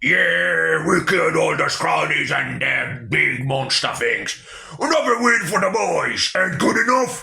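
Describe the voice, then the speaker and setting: A man puts on a character voice. He delivers it at a fairly slow pace. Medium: read story. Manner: lazy, gruff.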